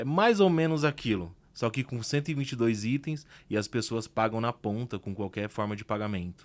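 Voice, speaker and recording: A man talks at a moderate pace in a normal speaking voice, medium in pitch with lively intonation. The recording is very clean, against a silent background. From Brazil, working-class outskirts. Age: 30s. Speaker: entrepreneur. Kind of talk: podcast interview.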